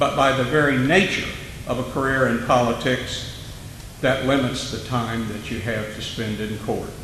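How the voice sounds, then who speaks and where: Over noticeable background noise with audible room echo, a man with an American accent speaks at a fairly slow pace, medium pitch and fairly even intonation. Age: 60s. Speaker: judge running for office. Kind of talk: candidate forum speech.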